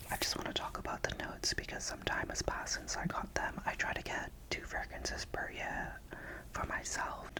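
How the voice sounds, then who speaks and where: A man whispers at a moderate pace in a gentle tone. Noticeable background noise runs underneath. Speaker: ASMR content creator. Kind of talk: casual talk to camera, fragrance review. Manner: gentle, soft-spoken, whispery.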